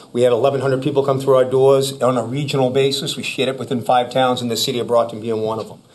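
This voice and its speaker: A man with a Boston accent talks at a very fast pace with hardly any pauses, his pitch medium. His intonation is monotone and flat, with noticeable background noise behind him. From Massachusetts. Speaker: former police chief. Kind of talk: public presentation. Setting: town board meeting.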